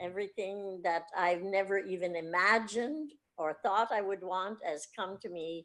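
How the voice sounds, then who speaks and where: A woman with a Canadian accent speaks in an ordinary speaking voice at medium pitch, with ordinary pitch variation. Her pace is fairly slow against a quiet background. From Canada, Ottawa. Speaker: art therapist. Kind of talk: interview.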